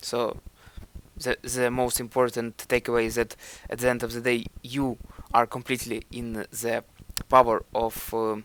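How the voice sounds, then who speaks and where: With a Ukrainian accent, a man speaks at a moderate pace in a monotone, flat intonation, taking long, frequent pauses, in a dry, close sound with no echo. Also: medium pitch for a man. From Ukraine. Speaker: self-improvement vlogger. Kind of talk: video commentary. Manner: hesitant.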